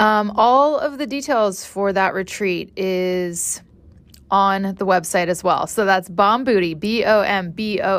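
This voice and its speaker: A woman speaks at a medium pitch. Hers is a normal speaking voice. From California Central Coast. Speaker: podcast host and dance instructor. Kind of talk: casual chat; promotional announcement.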